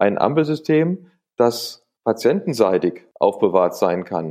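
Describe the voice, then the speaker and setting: Against a quiet background, a dark, mellow tone carries lively intonation. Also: man. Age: 60s. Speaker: palliative care doctor. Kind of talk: interview. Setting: phone call.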